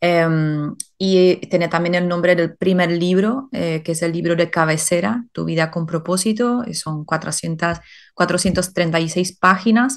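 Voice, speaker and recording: A woman with a non-native accent speaks at a fairly slow pace with ordinary pitch variation. The background is quiet. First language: not Spanish (speaking Spanish). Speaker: life purpose coach and author. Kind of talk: interview. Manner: hesitant with many fillers.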